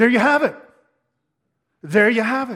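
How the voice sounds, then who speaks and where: A man talks. The variation in his pitch is ordinary. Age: 50s. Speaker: pastor. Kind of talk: sermon.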